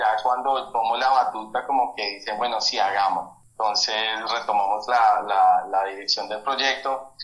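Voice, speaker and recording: A man talks at a fairly slow pace in a medium pitch with ordinary pitch variation. Audible room echo surrounds his voice. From Colombia, Bogotá. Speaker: filmmaker and photographer. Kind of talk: interview conversation. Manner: halting.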